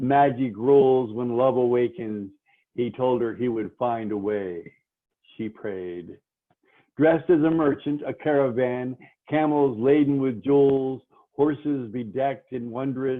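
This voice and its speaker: A man with an unremarkable speaking voice at medium pitch, fairly slow in pace, with ordinary pitch variation. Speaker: poet. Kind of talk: poetry reading. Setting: phone.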